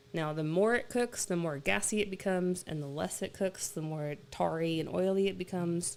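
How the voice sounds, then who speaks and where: A woman uses a normal speaking voice with fairly low pitch and ordinary pitch variation. She talks at a moderate pace with hardly any pauses. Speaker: oil and gas mineral consultant. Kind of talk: live stream Q&A explainer. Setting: live stream on camera. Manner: casual, filler-heavy.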